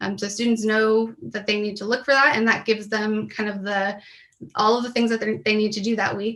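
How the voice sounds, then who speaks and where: Bright and sharp in tone, a woman's voice sits at a fairly high pitch. Her intonation stays fairly even. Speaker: professor. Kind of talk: conference presentation. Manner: many fillers (um).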